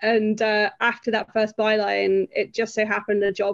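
With a Yorkshire accent, a woman speaks at a fairly high pitch. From northern England, near Sheffield. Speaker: film writer and author. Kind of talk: interview. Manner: hesitant, many fillers.

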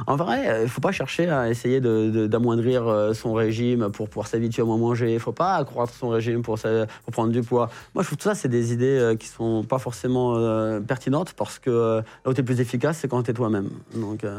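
A plain, everyday voice from a man at a medium pitch, with fairly even intonation, a moderate pace and a quiet background. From Paris, 19th arrondissement. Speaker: reality TV contestant and driver. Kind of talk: casual interview.

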